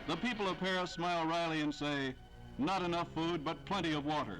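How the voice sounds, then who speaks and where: Over music in the background, a man with a high pitch talks at a moderate pace and ordinary pitch variation. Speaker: newsreel narrator. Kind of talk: wartime newsreel narration.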